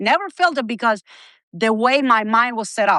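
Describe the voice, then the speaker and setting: With a Spanish accent, a woman speaks at a moderate pace in a fairly high pitch, her bright, sharp tone animated and her pitch varying in an ordinary way, recorded dry and close with no echo against a quiet background. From Cuba. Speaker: healthcare company executive. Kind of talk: interview.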